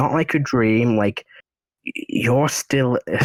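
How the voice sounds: The clip has a natural reading voice over a quiet background.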